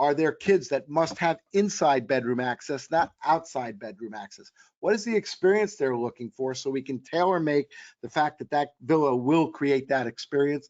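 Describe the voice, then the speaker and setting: A man speaks at a moderate pace in a fairly high pitch. He has an ordinary speaking voice with lively intonation. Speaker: travel company executive presenting a webinar. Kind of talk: webinar presentation. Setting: online webinar.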